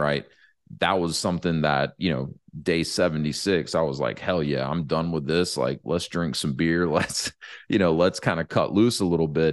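Against a quiet background, a man with a very deep, low voice and vocal fry speaks at a moderate pace. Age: 30s. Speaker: podcast host and franchise consultant. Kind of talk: casual solo monologue. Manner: casual with many fillers.

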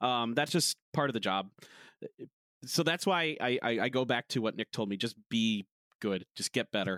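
Speaking at a moderate pace, a man with an American accent has a medium pitch and a bright, sharp tone. His intonation is lively, and the sound is dry and close with no echo. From United States. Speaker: esports caster. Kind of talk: casual chat. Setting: video call.

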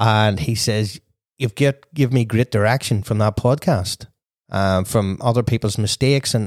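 In a very clean recording with a silent background and a dry, close sound with no echo, a man with a Northern Irish accent speaks at a medium pitch and moderate pace with ordinary pitch variation. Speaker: podcast host and wedding DJ. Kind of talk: casual interview chat.

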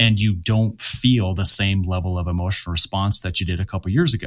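Fairly low in pitch, this man has an unremarkable speaking voice with ordinary pitch variation. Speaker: author. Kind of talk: interview. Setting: video call.

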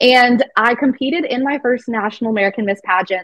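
A woman talks at a fairly quick pace in a plain, everyday voice. Her pitch is fairly high and her intonation lively. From Arizona. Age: 20s. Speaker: pageant titleholder. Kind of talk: interview.

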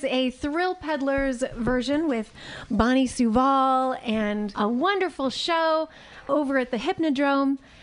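A woman with an American accent speaks at a fairly slow pace in a high pitch, her intonation lively and her loudness very even. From Texas. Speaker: radio show host. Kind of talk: radio talk show. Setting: radio studio. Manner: animated.

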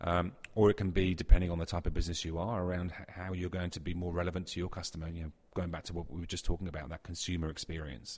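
A man with a British accent talks very fast in a very deep, low pitch, his intonation monotone and flat. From UK. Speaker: technology company executive. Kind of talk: interview. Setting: conference event.

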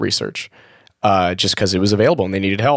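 This is a plain, everyday voice with fairly even intonation. The recording is very clean, with a silent background. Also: man. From Maryland, US. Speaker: rocket engineer. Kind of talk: casual chat.

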